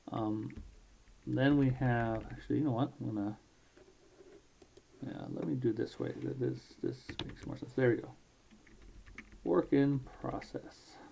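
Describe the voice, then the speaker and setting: A man mumbles at a fairly slow pace. He leaves long, frequent pauses. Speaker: amateur writer and programmer. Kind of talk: casual talk to camera. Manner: mumbles a lot.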